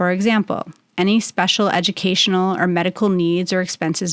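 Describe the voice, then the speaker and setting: A woman with a normal speaking voice talks at a moderate pace and medium pitch, with fairly even intonation. The recording is very clean with a silent background and a dry, close sound with no echo. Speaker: matrimonial attorney and podcast host. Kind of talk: informative legal podcast narration.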